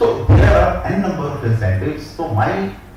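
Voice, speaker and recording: A man talks at a fairly slow pace with lively intonation. Noticeable background noise and audible room echo are present. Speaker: town planning official. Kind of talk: conference talk.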